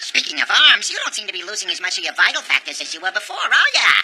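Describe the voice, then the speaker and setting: A cartoonish character voice, fairly high in pitch and very fast in pace. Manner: casual, teasing.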